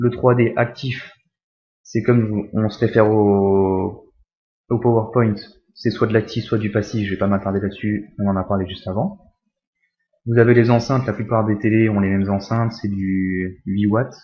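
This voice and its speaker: A man speaks in a somewhat breathy, fairly low voice with monotone, flat intonation. Long pauses come often. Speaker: tech youtuber. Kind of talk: tutorial. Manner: fast.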